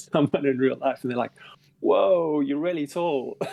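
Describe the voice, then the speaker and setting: A man speaks at a very fast pace with a South African accent. His tone is dark and mellow, his pitch fairly high. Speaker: game developer. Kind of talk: casual chat.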